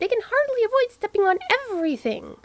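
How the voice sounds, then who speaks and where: Squeaky and extremely high-pitched, a woman rattles off a put-on character voice at a very fast pace. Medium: read story. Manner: blunt, skeptical.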